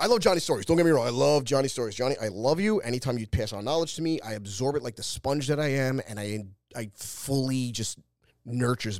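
Very fast and with lively intonation, a man with a New York accent speaks at medium pitch in a very clean recording with a silent background. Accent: New York City. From Staten Island, New York. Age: 40s. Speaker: podcast host and former pro wrestler. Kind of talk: casual solo monologue. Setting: studio.

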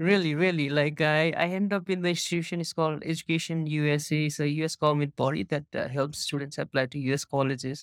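Talking at a very fast pace, a man with a Nepali accent keeps a fairly high pitch and fairly even intonation. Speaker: startup co-founder. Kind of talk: casual interview conversation. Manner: casual, filler-heavy.

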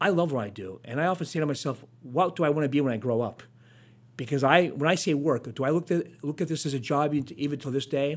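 On a very clean recording with a silent background, a man speaks at a very fast pace. He has a fairly high pitch, ordinary pitch variation and an American accent. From northeastern Pennsylvania. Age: 60s. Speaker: TV news reporter. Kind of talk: interview. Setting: studio.

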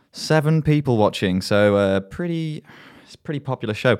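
This English-accented man is heard in a spotless recording against total silence. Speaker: student radio host and DJ. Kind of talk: casual radio show presenting, playful self-mocking banter between songs. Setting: radio studio broadcast. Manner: chatty, jokey, filler-heavy with frequent ums; self-deprecating, mock-pompous.

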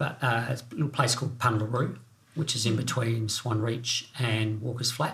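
Speaking at a moderate pace, a man with a medium-pitched voice keeps a flat, monotone delivery. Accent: Australian. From South Australia. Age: 50s. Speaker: bereaved father sharing his story. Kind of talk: testimony. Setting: home kitchen studio.

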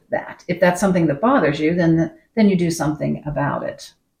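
Somewhat breathy, a woman speaks in a fairly low pitch with ordinary pitch variation. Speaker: retired nurse. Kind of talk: casual chat.

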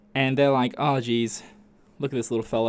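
Here a man with an Australian accent talks at a medium pitch. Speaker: podcast host. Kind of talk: casual monologue. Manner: animated.

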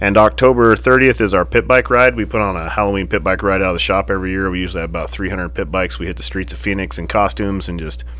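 The speaker talks at a very fast pace with very wide pitch swings. Background noise is noticeable. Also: man, very deep, low pitch for a man. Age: 40s. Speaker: motorcycle shop owner and podcast host. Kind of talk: casual chat. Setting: motorcycle shop. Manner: animated.

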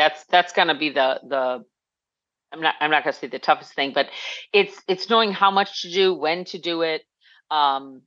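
A woman with a low pitch and a fairly bright tone talks with ordinary pitch variation. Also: moderate pace.

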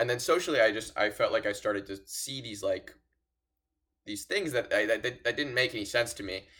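A man with an American accent at a fairly quick pace, big swings in loudness, on a very clean recording with a silent background. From Los Angeles. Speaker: college student, Democrat. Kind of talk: casual discussion.

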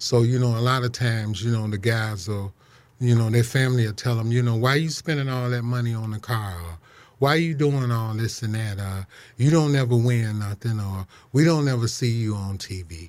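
With an American accent and an ordinary speaking voice, a man of medium pitch talks at a fairly quick pace with ordinary pitch variation in a very clean recording with a silent background. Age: 60s. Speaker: drag racer and racing historian. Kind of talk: radio interview. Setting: studio.

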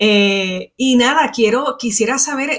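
A woman speaks in an ordinary speaking voice, pitched fairly high, with ordinary pitch variation. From Puerto Rico. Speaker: podcast host, instructional designer. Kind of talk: interview.

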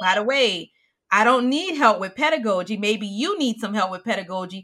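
Animated and bright with a sharp tone, a woman speaks at a moderate pace with lively intonation and an American accent. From US South. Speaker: podcast host, high school science teacher. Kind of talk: casual chat.

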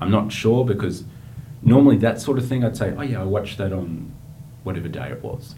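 With an Australian accent and a fairly low pitch, a man speaks at a moderate pace with lively intonation, amid audible room echo and noticeable background noise. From Australia, outer eastern Melbourne. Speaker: aid worker and writer. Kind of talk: interview conversation.

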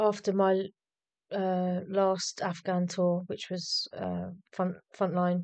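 Her voice carries an English accent at medium pitch. This woman speaks at a very slow pace in a monotone, flat intonation. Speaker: army medic veteran. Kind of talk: casual interview.

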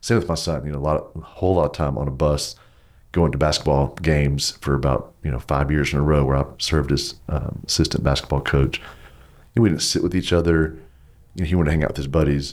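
A man with a Texas accent talks very fast in a very deep, low voice. His intonation is fairly even, and vocal fry comes through. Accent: Southern US, Texas. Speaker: pastor. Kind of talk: casual interview conversation.

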